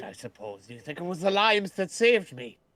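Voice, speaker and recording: This put-on character voice sits at a middle pitch and moves at a fairly quick pace. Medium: actual play.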